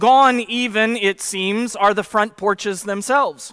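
Against a quiet background, a man speaks in a raised, projected voice with a bright, sharp tone. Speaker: preacher. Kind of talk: sermon. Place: church. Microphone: headset.

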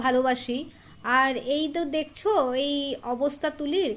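A woman is speaking. Her voice is high in pitch. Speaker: lifestyle vlogger. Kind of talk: casual vlog chat, product show-and-tell. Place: home room. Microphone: phone near.

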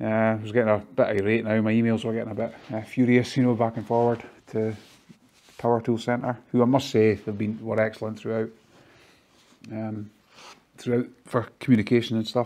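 A man's fairly low pitch, slightly mellow tone and monotone, flat intonation at a fairly quick pace

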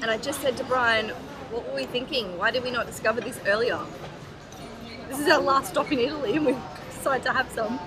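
Over noticeable background noise, a woman speaks at a very fast pace with ordinary pitch variation. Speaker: travel vlogger. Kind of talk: casual vlog chat. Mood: cheerful, enthusiastic. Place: cafe. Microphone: phone near.

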